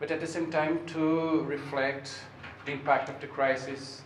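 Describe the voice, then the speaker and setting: Over noticeable background noise and audible room echo, a man with a fairly high pitch speaks at a fairly slow pace with fairly even intonation. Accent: Portuguese. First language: Portuguese. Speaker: sociology researcher giving a seminar talk. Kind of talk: lecture. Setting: seminar room with audience. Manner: halting, many fillers.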